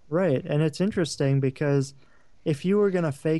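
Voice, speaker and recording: Ordinary pitch variation in a plain, everyday voice from a man, fairly high in pitch. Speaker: field interviewer. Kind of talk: casual interview.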